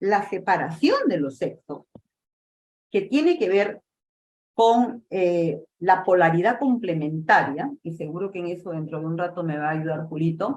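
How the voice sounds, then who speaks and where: This woman has an ordinary speaking voice with fairly low pitch. She talks at a fairly slow pace with lively intonation. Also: big swings in loudness. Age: 60s. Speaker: lecturer on theosophy. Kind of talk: lecture.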